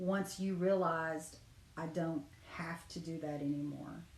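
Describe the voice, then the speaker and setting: A woman's fairly low-pitched, monotone, flat voice at a fairly slow pace, with audible room echo. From Cherokee community, US. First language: Cherokee. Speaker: dream interpreter. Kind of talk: dream interpretation session. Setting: livestream.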